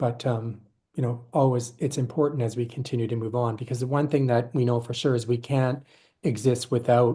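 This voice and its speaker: Against a quiet background, a dark, mellow, somewhat breathy voice speaks in a flat monotone at a moderate pace. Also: man. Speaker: board member and governance presenter. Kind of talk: presentation. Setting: virtual session.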